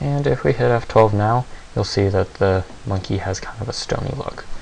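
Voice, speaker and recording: Quietly, a man speaks at a fairly low pitch and moderate pace against noticeable background noise. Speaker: 3D software tutorial maker. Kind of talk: software tutorial narration.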